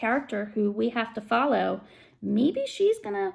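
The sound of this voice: Lively intonation in an unforced reading voice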